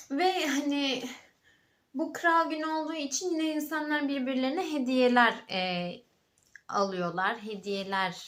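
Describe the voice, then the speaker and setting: Very wide pitch swings mark this very slow delivery, heard with audible room echo. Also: woman, high pitch for a woman. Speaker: vlogger. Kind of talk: casual vlog talk. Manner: halting, many fillers.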